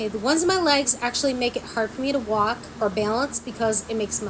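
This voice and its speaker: Over noticeable background noise, a woman speaks at a very fast pace with ordinary pitch variation. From small country town. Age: 40s. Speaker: vlogger. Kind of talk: casual chat. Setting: sitting at home by a window.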